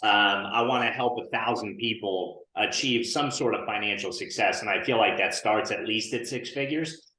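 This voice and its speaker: A medium-pitched man with an American accent, talking at a fairly quick pace amid audible room echo. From northern New Jersey. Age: 30s. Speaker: insurance agency owner and coach. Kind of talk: podcast interview. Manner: casual, many fillers.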